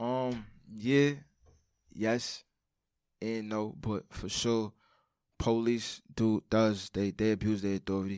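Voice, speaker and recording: A man with a New York accent speaks at a very slow pace in a fairly low voice, leaving long, frequent pauses, on a very clean recording with a silent background. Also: dry, close sound with no echo. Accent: New York City. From Brooklyn, New York. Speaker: former inmate. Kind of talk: interview. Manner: casual.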